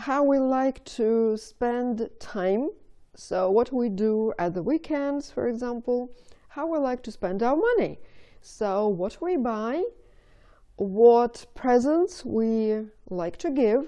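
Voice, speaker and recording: With a Russian accent, a woman talks at a very slow pace in a high pitch with lively intonation. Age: 50s. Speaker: video blogger. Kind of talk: casual monologue to camera. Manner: hesitant, with fillers.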